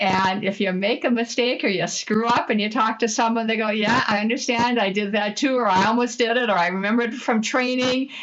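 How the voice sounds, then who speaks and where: A woman's fairly high voice with ordinary pitch variation, at a moderate pace amid noticeable background noise. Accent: Midwestern. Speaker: franchise consultant. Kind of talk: interview.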